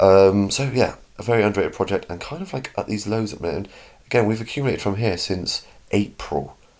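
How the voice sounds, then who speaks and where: A man with a British accent talks at a very fast pace, his fairly low pitch showing ordinary variation. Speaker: crypto YouTuber. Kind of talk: casual market commentary. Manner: animated.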